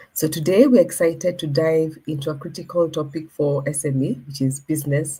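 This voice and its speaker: Somewhat breathy and very deep in pitch, a woman talks at a moderate pace in a dark, mellow tone with ordinary pitch variation. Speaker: moderator / program coordinator. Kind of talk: webinar introduction. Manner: subdued.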